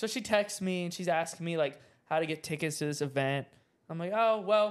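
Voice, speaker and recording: With an American accent, a man talks at a fairly quick pace in a high pitch with ordinary pitch variation, in a very clean recording with a silent background. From US South. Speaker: podcast co-host. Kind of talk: casual solo chat to camera.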